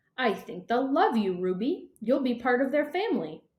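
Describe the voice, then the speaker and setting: A put-on character voice from a woman, high-pitched, with very wide pitch swings. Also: moderate pace. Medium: read story. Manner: calm, gentle.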